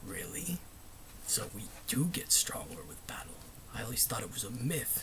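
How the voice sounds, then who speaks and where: Whispering in a put-on character voice, a man speaks at a moderate pace with long, frequent pauses. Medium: solo performance. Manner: haughty, contemptuous.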